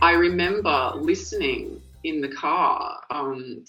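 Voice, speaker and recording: A woman speaks with an Australian accent. Music plays in the background. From rural New South Wales, Australia. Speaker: singer and guitarist. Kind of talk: interview. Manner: hesitant, many fillers.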